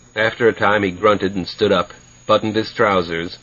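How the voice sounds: The speaker reads in a natural voice, keeping the intonation fairly even.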